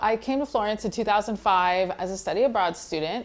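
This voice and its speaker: A woman's plain, everyday voice with an American accent, fairly quick pace and ordinary pitch variation. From Texas, USA. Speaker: blogger and content editor. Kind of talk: interview answer.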